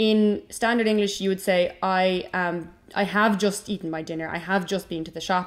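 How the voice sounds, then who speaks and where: This woman has an Irish accent and a medium-pitched voice with fairly even intonation. The recording is very clean, with a silent background. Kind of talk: casual educational talk to camera.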